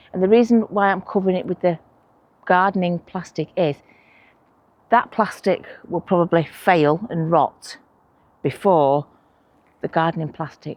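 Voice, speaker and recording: Here a woman speaks at a fairly low pitch. Her intonation is fairly even. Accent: Manchester. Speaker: allotment vlogger. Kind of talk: casual vlog talk to camera. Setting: outdoors at allotment plot. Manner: chatty, conversational.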